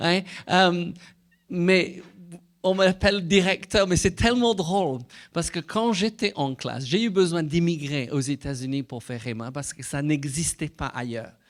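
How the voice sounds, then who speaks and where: Recorded very cleanly with a silent background, a man with a high pitch and a slight British accent speaks at a moderate pace with ordinary pitch variation. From Britain. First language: English (speaking French). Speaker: Bible school director and preacher. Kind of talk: sermon. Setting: church. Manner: halting.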